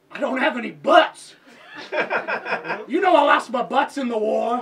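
The speech moves at a moderate pace with light background noise. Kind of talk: improv comedy scene. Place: stage. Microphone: camera far.

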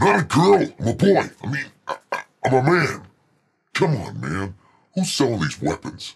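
Over faint music, a man in a put-on character voice talks at a moderate pace and medium pitch, swinging very widely in pitch, with vocal fry, a slightly husky edge and a robotic, processed sound.

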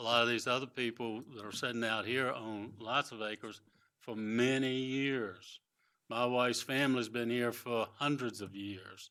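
A man's medium-pitched, bright, sharp voice, flat and monotone at a moderate pace, on a very clean recording with a silent background. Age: 70s. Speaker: public commenter at county meeting. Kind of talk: public comment at hearing.

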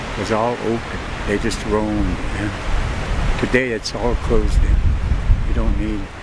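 Loud background noise surrounds a man speaking at a moderate pace, though the voice itself sounds dry with no echo. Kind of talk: oral history storytelling. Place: waterside.

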